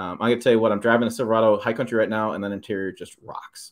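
An unremarkable speaking voice from a man, fairly low in pitch with fairly even intonation, over a quiet background. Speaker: truck channel host. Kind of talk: commentary over photos. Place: home room.

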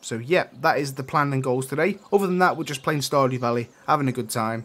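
The pitch moves in an ordinary way, with an East Midlands accent. The pace is fairly quick. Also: man. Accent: British, East Midlands. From England, East Midlands. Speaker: gaming streamer. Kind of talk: live gameplay stream chat. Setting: live stream.

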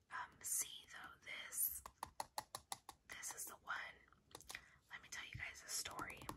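Someone whispers, soft-spoken, at a fairly slow pace. Loud background noise is present. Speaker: ASMR creator. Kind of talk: casual ASMR chat reading a quiz. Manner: soft ASMR whisper.

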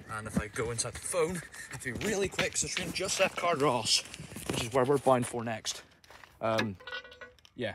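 With lively intonation and long, frequent pauses, a man speaks at a medium pitch and a moderate pace, the sound dry with no echo but with noticeable background noise. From Northern Ireland. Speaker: railway enthusiast vlogger. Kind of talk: vlog narration; casual vlog commentary. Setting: outdoors. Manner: casual, halting. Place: street. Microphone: phone near.

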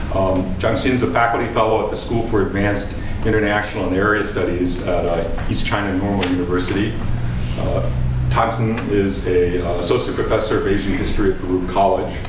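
A man at a fairly quick pace, with audible room echo and noticeable background noise. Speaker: professor and session chair. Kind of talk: chairing a panel. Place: meeting room. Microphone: podium.

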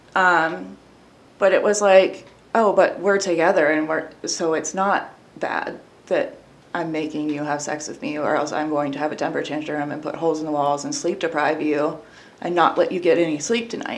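Amid noticeable background noise, a woman speaks at a moderate pace in a very deep, low pitch with ordinary pitch variation. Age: 30s. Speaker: abuse survivor sharing her story. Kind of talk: personal testimony in interview.

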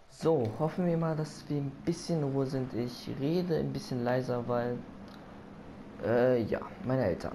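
Audible room echo surrounds a man speaking at medium pitch with ordinary pitch variation. He talks at a fairly slow pace, with long, frequent pauses. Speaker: gaming video creator. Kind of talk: let's play commentary. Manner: quieter speaking; animated.

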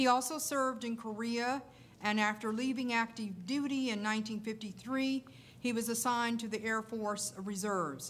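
Over light background noise, a woman with a normal speaking voice talks at a moderate pace and fairly high pitch, with ordinary pitch variation. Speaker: panel moderator, librarian; panel moderator. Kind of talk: event introduction. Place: hall. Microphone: podium.

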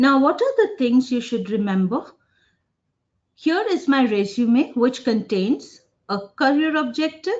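The speaker is a woman. She talks at a very slow pace. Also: quiet background. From India, Jamshedpur (Jharkhand); Jharkhand, India. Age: 40s. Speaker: business communication professor; professor, webinar presenter. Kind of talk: webinar lecture. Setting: online webinar with screen sharing. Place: office. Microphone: webcam.

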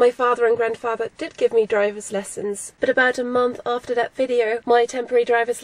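A woman talks at a moderate pace in a monotone, flat delivery. The sound is dry, with no echo. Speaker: vlogger. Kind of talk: casual vlog chat. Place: car. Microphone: phone near.

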